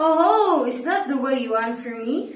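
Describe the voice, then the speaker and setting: A gruff, put-on character voice moves at a fairly slow pace. There is a slight echo. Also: woman, high pitch for a woman. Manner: rough, threatening.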